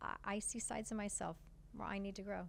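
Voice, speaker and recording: Using vocal fry, a woman talks at a very fast pace. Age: 60s. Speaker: foundation partnerships director. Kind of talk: podcast interview.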